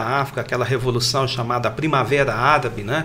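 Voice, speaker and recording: A man's bright, sharp voice in monotone, flat intonation, with audible room echo. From Brazil, Minas Gerais (Triângulo Mineiro). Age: 50s. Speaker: pastor and missionary. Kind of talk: panel discussion.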